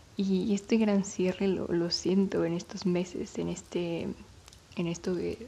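Her voice is somewhat breathy, with a dark, mellow tone. The woman speaks in a monotone, with flat intonation. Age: 20s. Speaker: podcast host. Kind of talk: personal monologue. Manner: halting.

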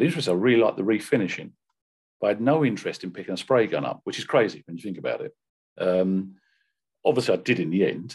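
Over a quiet background, a man with a British accent talks at a very fast pace in a fairly low pitch, with lively intonation and long, frequent pauses. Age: 50s. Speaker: professional car detailer and brand ambassador. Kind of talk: interview.

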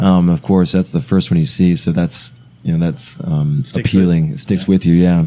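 A man with an American accent talks at a very fast pace in a very deep, low voice with ordinary pitch variation. Noticeable background noise runs beneath him. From US South, South Carolina. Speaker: podcast guest. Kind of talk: casual chat.

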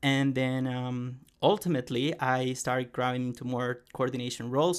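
On a very clean recording with a silent background, a man with an American accent speaks at a medium pitch in a flat monotone. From United States, Colombian roots. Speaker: climate activist and social media coordinator. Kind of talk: interview. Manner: halting, frequent repetitions.

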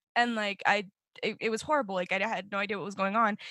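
Bright and sharp in tone, a woman speaks at a fairly high pitch with an American accent. Her pace is fairly quick, her intonation fairly even, and the sound dry and close with no echo. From Colorado (Fort Morgan, then Denver). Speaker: recent high school graduate, youth storyteller. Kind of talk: casual interview.

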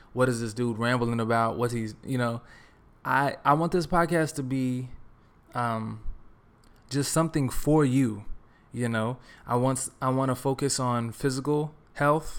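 On a very clean recording with a silent background, a man with an American accent speaks at medium pitch with fairly even intonation and long, frequent pauses. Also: fairly slow pace. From Texas. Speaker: podcast host, R&B singer and actor. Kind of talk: solo monologue podcast. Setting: home recording alone in apartment. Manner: casual, conversational with many fillers.

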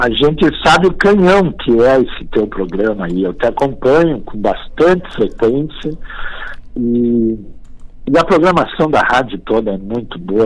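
Very wide pitch swings mark this voice, which moves at a fairly slow pace. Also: man. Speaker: folk poet and reciter. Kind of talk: radio interview. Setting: remote call. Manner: animated.

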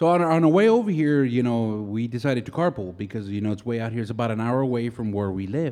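This man speaks with an American accent, a dark, mellow tone and lively intonation. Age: 40s. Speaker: podcast host. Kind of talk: casual chat. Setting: rural ranch location. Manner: animated.

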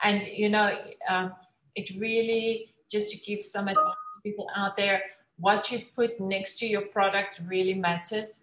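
Speaking with a South African accent, a woman keeps a medium pitch and monotone, flat intonation at a fairly slow pace. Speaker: talk show host. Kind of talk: casual interview.

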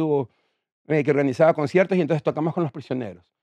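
On a dry, close recording with no echo, a man speaks at a fairly high pitch with ordinary pitch variation. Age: 50s. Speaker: rock musician. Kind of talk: casual chat.

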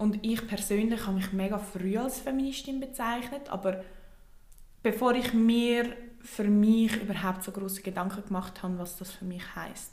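A woman's fairly even intonation, with audible room echo. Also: medium pitch for a woman, moderate pace. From Switzerland. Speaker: podcast co-host. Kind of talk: casual chat.

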